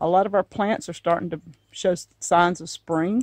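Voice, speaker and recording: A woman with a Deep South accent talks at a moderate pace, her voice recorded dry and close with no echo. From Southern United States. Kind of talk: casual talk to camera.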